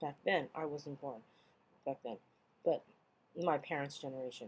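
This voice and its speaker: A woman speaks at a very deep, low pitch. Her words come out mumbled. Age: 40s. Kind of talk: casual video log reading of an old school report. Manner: mumbling, rambling.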